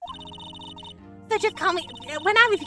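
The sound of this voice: What we hear is an unforced reading voice.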